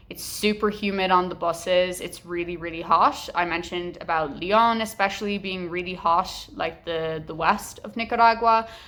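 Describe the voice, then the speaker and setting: A woman talks at a moderate pace and medium pitch, with ordinary pitch variation and hardly any pauses. Her loudness swings widely, and there is noticeable background noise. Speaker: travel vlogger. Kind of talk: travel vlog talk to camera. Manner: casual, filler-heavy.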